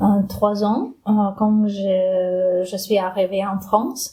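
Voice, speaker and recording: Very slowly and somewhat breathily, a woman with a Ukrainian accent speaks at a medium pitch in a dark, mellow tone with fairly even intonation. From Ukraine. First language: Ukrainian (speaking French). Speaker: immigrant interviewee. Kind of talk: interview. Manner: halting.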